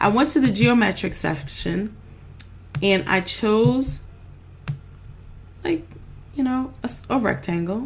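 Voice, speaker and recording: A woman's somewhat breathy, medium-pitched voice with lively intonation at a fairly slow pace. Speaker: online business coach. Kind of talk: screen-share tutorial. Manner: chatty, animated.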